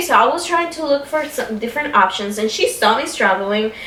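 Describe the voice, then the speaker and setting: A fairly high-pitched woman with a Spanish accent and very wide pitch swings, amid noticeable background noise and audible room echo. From Caribbean, Spanish-speaking. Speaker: YouTuber. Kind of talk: casual chat.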